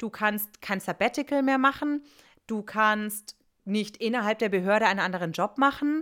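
On a very clean recording with a silent background, a woman in a normal speaking voice, fairly high in pitch, speaks at a moderate pace with ordinary pitch variation. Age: 30s. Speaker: former teacher, podcast co-host. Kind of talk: casual chat.

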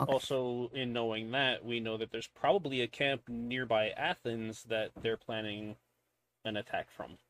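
Moderate pace and fairly even intonation in a normal speaking voice. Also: man, medium pitch for a man. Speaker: tabletop game player. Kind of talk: casual roleplaying chat.

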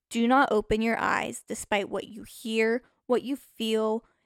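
On a very clean recording, a woman speaks against a silent background. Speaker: podcast host. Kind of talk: ghost story telling, second-person spooky narration of a ritual's steps. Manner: theatrical, mock-menacing with a teasing fake laugh; casual, chatty with frequent fillers.

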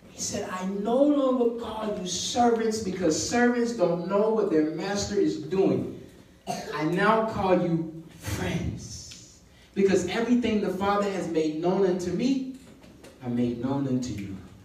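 Speech comes at a fairly slow pace in an animated tone. Background noise is noticeable. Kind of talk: sermon. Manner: animated, call-and-response; conversational, informal, teaching.

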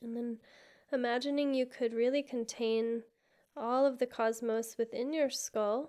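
Her pitch high yet her tone dark and mellow, a woman speaks at a fairly slow pace in a monotone, flat intonation. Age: 30s. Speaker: Reiki practitioner and yoga teacher. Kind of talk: casual chat.

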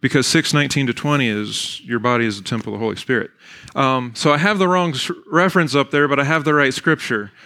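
A bright, sharp tone with an American accent at moderate pace, on a very clean recording with a silent background. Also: man. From Virginia, Shenandoah Valley. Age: 40s. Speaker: pastor and speaker. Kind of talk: public talk. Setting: church hall with audience. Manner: animated.

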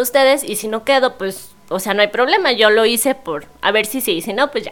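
A woman's normal speaking voice, fairly high-pitched, at a moderate pace with ordinary pitch variation. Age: 20s. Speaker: primary school teacher. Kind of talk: casual interview.

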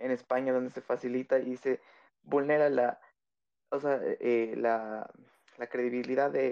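In an ordinary speaking voice, a man talks at a fairly slow pace with a medium pitch and fairly even intonation, the sound dry and close with no echo. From Ecuador, Quito. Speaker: caller. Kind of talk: opinion call-in on a live audio space.

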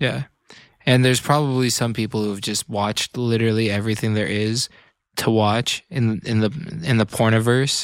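In an American accent, an unremarkable speaking voice proceeds at a moderate pace with fairly even intonation, dry and close with no echo, on a very clean recording with a silent background. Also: man, medium pitch for a man. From Northern California, Bay Area. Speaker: electronic music producer and radio host. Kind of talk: casual chat. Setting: studio.

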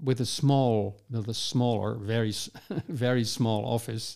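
In a very clean recording with a silent background, a man with a Dutch accent speaks at a medium pitch in a dark, mellow tone. His pace is very slow and his intonation fairly even. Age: 70s. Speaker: urban designer. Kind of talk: interview conversation. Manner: halting, repeats words.

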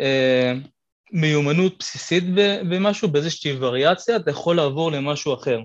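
Speaking with ordinary pitch variation, a man keeps to a moderate pace. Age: 20s. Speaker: calisthenics athlete and physiotherapy student. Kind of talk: casual interview chat.

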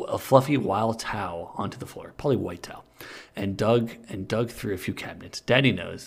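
The speaker reads aloud plainly, with ordinary pitch variation.

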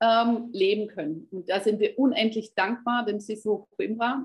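Somewhat breathy, this woman's voice sits fairly high in pitch. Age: 50s. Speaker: health coach. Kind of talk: interview.

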